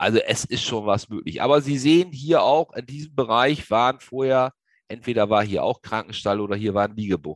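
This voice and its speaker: The man talks at a moderate pace with ordinary pitch variation, his sound dry and close with no echo. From Lower Saxony, northern Germany. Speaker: agricultural safety expert. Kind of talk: webinar lecture. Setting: online webinar. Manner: hesitant, many filler sounds.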